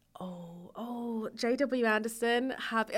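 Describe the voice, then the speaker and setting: A woman speaks at a high pitch with an English accent. Her tone is bright and sharp, with ordinary pitch variation. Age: 30s. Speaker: YouTuber. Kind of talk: casual chat.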